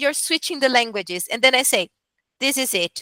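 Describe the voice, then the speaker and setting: A woman with a Portuguese accent projects a raised voice with a high pitch and a bright, sharp tone, heard in a dry, close sound with no echo. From Brazil. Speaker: medical interpreter. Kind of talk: casual chat.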